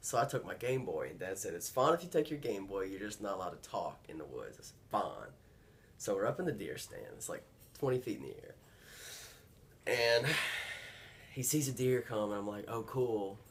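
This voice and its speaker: With a Georgia accent and a relaxed tone, a man talks at a fairly quick pace, leaving long, frequent pauses amid big swings in loudness. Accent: Southern American (Georgia). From northeast Georgia, USA. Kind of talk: interview answer. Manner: casual, relaxed.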